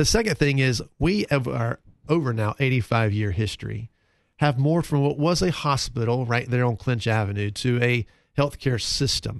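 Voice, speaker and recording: Over a quiet background, a man speaks in a normal speaking voice at a moderate pace. His pitch is medium with ordinary variation, and his loudness stays very even. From US South, North Carolina (Concord). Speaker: hospital fundraising executive. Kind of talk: radio interview. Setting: radio studio.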